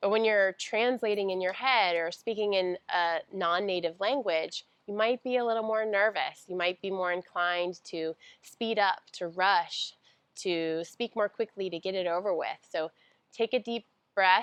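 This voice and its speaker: A woman with a General American accent and an ordinary speaking voice talks at a moderate pace in a medium pitch. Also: fairly even intonation. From United States. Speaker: speech pathologist. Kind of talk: tutorial.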